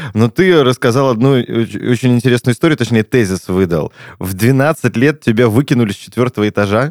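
The recording is very clean with a silent background and a dry, close sound with no echo. A man with an ordinary speaking voice talks at a moderate pace in a medium pitch with ordinary pitch variation. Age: 30s. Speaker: podcast host. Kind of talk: casual chat.

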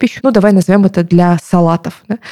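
Here a woman talks at a fairly quick pace with a fairly low pitch. Her tone is dark and mellow, with ordinary pitch variation. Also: dry, close sound with no echo. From southern Russia, Novorossiysk, Krasnodar Krai. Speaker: marketer and podcast co-host. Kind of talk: casual chat. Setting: studio.

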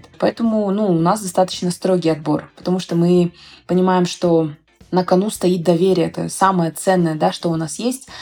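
Her voice is fairly low for a woman, with a dark, mellow tone and fairly even intonation. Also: moderate pace. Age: 20s. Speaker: startup founder. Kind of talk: interview.

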